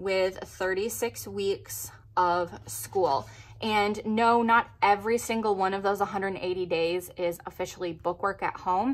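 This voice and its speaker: A woman speaks at a very slow pace. Her pitch variation is ordinary. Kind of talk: tutorial. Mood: upbeat, friendly.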